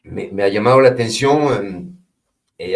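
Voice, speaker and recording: A man speaks with a French accent. His voice is somewhat breathy. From France. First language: French (speaking Spanish). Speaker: French teacher and film worker. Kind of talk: interview. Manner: halting, many repetitions and fillers.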